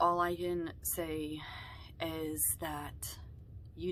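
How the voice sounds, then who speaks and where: A woman is heard with audible room echo. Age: young. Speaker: vlogger. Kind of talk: personal vlog talk.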